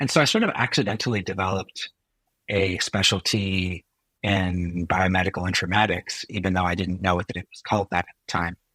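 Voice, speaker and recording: A man with an American accent speaks in a very deep, low pitch and a bright, sharp tone, with fairly even intonation. His loudness swings widely, and the sound is dry and close with no echo. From California, US (Silicon Valley). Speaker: physician and health technologist. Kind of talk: podcast interview. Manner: hesitant, many fillers.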